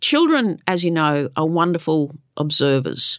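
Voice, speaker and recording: A woman speaks at a fairly slow pace with an Australian accent. The recording is very clean, with a silent background. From Queensland, Australia. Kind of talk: interview. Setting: studio.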